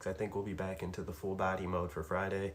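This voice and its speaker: A man talks at a fairly quick pace. He is soft-spoken, with a relaxed tone. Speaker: fitness streamer. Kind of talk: casual live-stream chat. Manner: relaxed, with many fillers. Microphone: might be a little quiet.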